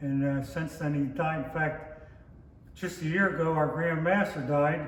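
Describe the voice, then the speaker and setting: Speaking with a Pittsburgh accent at a fairly slow pace, a man uses a fairly high pitch and fairly even intonation, with noticeable background noise and audible room echo. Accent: western Pennsylvania (Pittsburgh). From western Pennsylvania (Pittsburgh north hills). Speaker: lodge member, oral history interviewee. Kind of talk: oral history interview.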